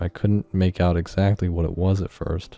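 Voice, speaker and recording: Over music in the background, a man with a very deep, low voice talks at a fairly quick pace with fairly even intonation. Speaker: amateur horror narrator. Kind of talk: first-person horror story narration.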